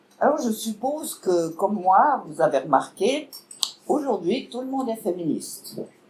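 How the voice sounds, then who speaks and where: Amid noticeable background noise, a woman with a Vaud accent speaks fairly slowly at a fairly high pitch, her pitch swinging very widely. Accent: Swiss French (Vaud). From Switzerland, canton of Vaud. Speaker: political speaker, party member. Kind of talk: public lecture.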